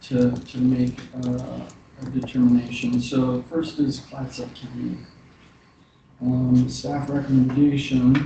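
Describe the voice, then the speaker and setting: A quiet man at a very slow pace, medium in pitch and monotone, flat in intonation, with long, frequent pauses, audible room echo and noticeable background noise. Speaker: commission chair. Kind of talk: meeting chairing. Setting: government commission meeting.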